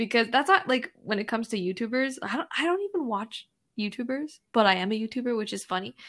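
On a very clean recording with a silent background, a woman with a Canadian accent talks at a very fast pace with a fairly high pitch. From Canada (Edmonton, Alberta). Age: 20s. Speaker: social media content creator. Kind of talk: casual interview chat.

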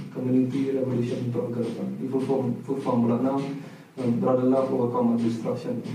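Amid noticeable background noise and audible room echo, a man speaks at a medium pitch and a fairly quick pace, his intonation monotone and flat and his loudness very even. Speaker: podcast co-host. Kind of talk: casual chat. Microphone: camera audio, poor sound quality.

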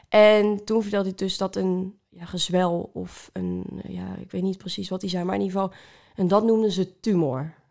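On a very clean recording with a silent background, a woman talks at a moderate pace with big swings in loudness. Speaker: cancer survivor, social media creator. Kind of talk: testimony. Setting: at a kitchen table.

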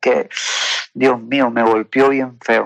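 A man's medium-pitched, monotone, flat delivery at a very slow pace, in a dry, close sound with no echo. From Peru. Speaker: testimony guest. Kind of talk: testimony. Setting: phone call. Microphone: WhatsApp call audio.

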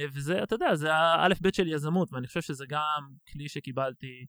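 A man with a fairly high pitch, a bright, sharp tone and ordinary pitch variation is heard in a dry, close sound with no echo on a very clean recording with a silent background. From Israel, Tel Aviv. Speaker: business development director and nonprofit co-founder. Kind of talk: casual interview. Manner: fast.

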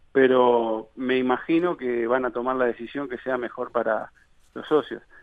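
This is a man speaking at a medium pitch. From Uruguay, Montevideo. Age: 30s. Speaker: candidate for football club presidency. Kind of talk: radio interview. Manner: halting, many fillers.

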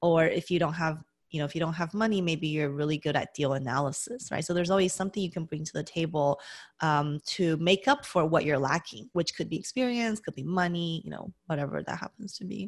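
A woman with an ordinary speaking voice, a fairly low pitch and ordinary pitch variation talks at a fairly quick pace in a very clean recording with a silent background. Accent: American. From US West, Las Vegas. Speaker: accountant and real estate investor. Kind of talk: interview.

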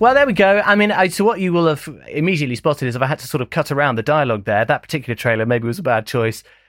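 Speaking very fast, a man with a fairly high pitch swings very widely up and down, recorded very cleanly against a silent background. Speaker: podcast host and producer. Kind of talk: casual chat. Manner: bantering, talkative.

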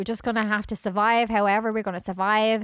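A woman with a Scottish accent and a fairly high voice, on a very clean recording with a silent background. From Scotland. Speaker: podcast host. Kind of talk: casual chat, film review. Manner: animated, humorous.

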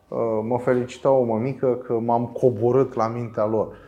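A moderate pace and medium pitch in a man's ordinary speaking voice. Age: 40s. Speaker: philosophy teacher. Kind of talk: interview.

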